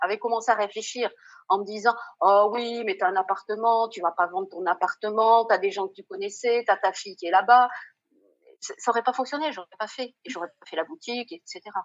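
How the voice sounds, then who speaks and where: In a plain, everyday voice, a woman with a fairly high pitch talks at a fairly quick pace, with big swings in loudness. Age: 60s. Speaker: former doctor turned shop owner. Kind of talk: casual interview chat.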